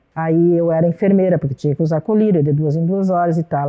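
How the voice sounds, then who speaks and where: Ordinary pitch variation at a moderate pace in an unremarkable speaking voice. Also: woman. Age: 60s. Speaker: grandmother, senior hip hop dancer. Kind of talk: documentary interview.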